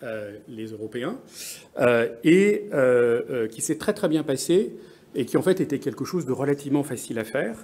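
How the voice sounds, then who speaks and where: A man with an English accent talks at a fairly slow pace with lively intonation. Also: medium pitch for a man. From France. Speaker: business executive, conference speaker. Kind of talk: conference presentation. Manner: halting, many hesitations.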